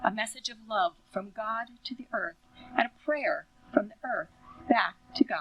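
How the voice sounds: What you hear is a natural reading voice.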